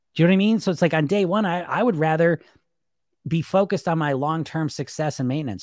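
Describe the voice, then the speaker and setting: On a very clean recording with a silent background, a fairly high-pitched man speaks very fast with lively intonation and long, frequent pauses. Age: 40s. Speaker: weight loss coach. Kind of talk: solo podcast monologue. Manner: casual, animated.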